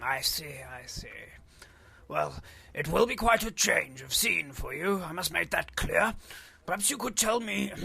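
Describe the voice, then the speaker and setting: A man puts on a character voice, leaving long, frequent pauses. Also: moderate pace. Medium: audio drama. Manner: formal, throat-clearing.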